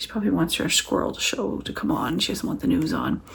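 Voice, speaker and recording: A woman's voice with vocal fry. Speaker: author vlogger. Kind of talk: casual vlog. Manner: soft-spoken.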